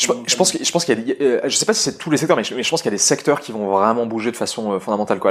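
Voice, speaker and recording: The intonation here is lively. A man talks very fast. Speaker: data science manager. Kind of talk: interview. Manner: hesitant, many fillers.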